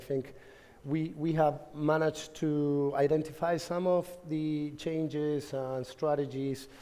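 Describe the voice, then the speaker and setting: The speaker has a Spanish accent and a fairly slow pace. The intonation stays fairly even. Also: man. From Argentina. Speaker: conference speaker, tech company manager. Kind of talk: conference talk. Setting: stage with audience. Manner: halting, many fillers and repetitions.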